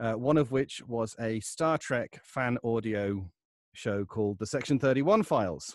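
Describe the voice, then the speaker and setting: A man with a normal speaking voice and a medium pitch talks at a moderate pace on a very clean recording with a silent background. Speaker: voice actor and audiobook narrator. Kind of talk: interview answer, casual talk about his career.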